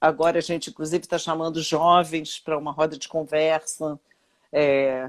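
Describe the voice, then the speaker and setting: A woman's very deep, low voice in a monotone, flat delivery at a moderate pace, on a very clean recording with a silent background. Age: 60s. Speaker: retired labour judge. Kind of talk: interview. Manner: halting.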